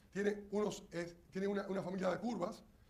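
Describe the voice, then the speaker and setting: An animated voice at a moderate pace comes with audible room echo. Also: man. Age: 60s. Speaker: engineer. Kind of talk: lecture.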